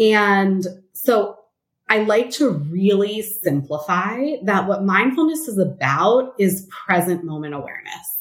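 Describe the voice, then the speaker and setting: At a fairly slow pace, a woman speaks with an American accent. Her medium-pitched voice carries lively intonation. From Los Angeles, California. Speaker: therapist. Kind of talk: interview conversation.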